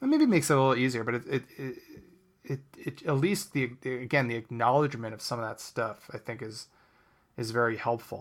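His pitch is medium and rises and falls in an ordinary way. This man has a normal speaking voice and talks at a fairly quick speed. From New Jersey. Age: 30s. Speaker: comedian and improviser. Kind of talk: casual chat.

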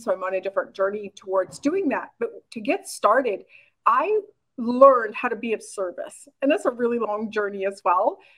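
In an unremarkable speaking voice, a woman talks at a moderate pace, her fairly high pitch showing ordinary variation. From Canada, rural Saskatchewan. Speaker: online business coach. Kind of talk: interview.

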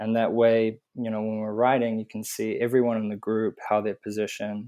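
This man has a New Zealand accent and a fairly low pitch, talking at a fairly quick pace with monotone, flat intonation. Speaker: motorcycle tour business manager. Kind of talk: interview.

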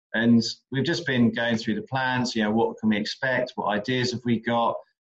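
A man with an English accent talks in a monotone, flat intonation. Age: 30s. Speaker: visitor attraction manager. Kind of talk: interview.

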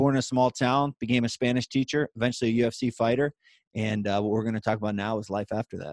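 Speaking with a western Pennsylvania accent, a man talks at a very fast pace in an energetic tone, the sound dry and close with no echo. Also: medium pitch for a man. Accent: western Pennsylvania American. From western Pennsylvania, Pittsburgh side. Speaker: former MMA fighter, author and speaker. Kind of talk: podcast interview.

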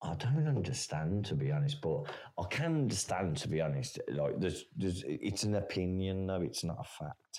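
A man's very deep, low voice with an English accent, very wide pitch swings and hardly any pauses, at a moderate pace. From England. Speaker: caller. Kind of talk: casual chat.

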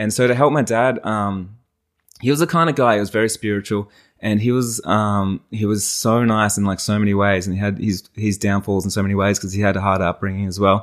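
On a very clean recording with a silent background, a man with a fairly low voice talks at a fairly quick pace with fairly even intonation. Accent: Australian. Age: 30s. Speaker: wedding photographer and business owner. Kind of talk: casual interview chat. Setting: in the host's lounge room.

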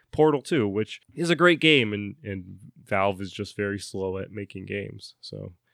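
Against a quiet background, a man with a normal speaking voice talks at a fairly slow pace in a fairly low pitch. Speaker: podcast host. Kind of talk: casual banter, podcast chat.

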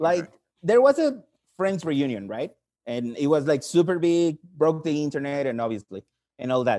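In a Spanish accent, a man speaks at a moderate pace in a fairly high voice with a dark, mellow tone and lively intonation. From Mexico. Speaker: English teacher, caller. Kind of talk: casual chat. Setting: video call.

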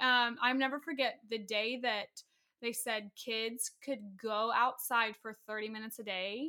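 An unremarkable speaking voice at a fairly slow pace with fairly even intonation. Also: woman, fairly high pitch for a woman. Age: 20s. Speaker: podcast guest, host's sister. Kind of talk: casual chat.

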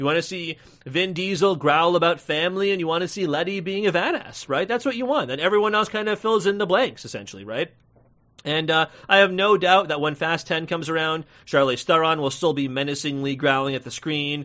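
A man talks fairly quickly in a high voice, his pitch varying in an ordinary way. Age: 30s. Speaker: movie podcast host. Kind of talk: casual solo review podcast.

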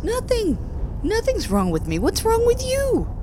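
A woman's put-on character voice at a moderate pace, over loud background noise. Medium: actual play. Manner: curt, evasive.

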